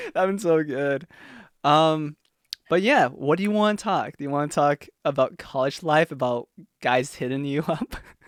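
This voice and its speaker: A man's fairly high voice at a moderate pace, with ordinary pitch variation, on a very clean recording with a silent background and a dry, close sound with no echo. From USA. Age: 20s. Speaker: podcast host, biology student. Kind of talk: casual chat. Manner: halting.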